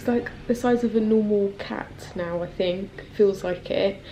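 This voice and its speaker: Noticeable background noise sits under this recording. A woman with a southern English accent speaks at a fairly slow pace. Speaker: lifestyle vlogger. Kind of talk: casual vlog talk. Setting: at home.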